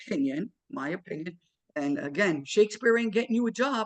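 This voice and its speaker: The speaker has a New York accent and lively intonation. The sound is dry and close, with no echo. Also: man. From New York, Queens. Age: 60s. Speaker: electrical trade school owner and instructor. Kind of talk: interview. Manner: casual, repetitive with many fillers.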